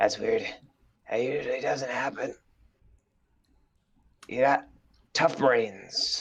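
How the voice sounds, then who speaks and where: A man puts on a raspy character voice. He goes at a fairly slow pace with long, frequent pauses. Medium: actual play. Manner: courteous, gloomy, rambling.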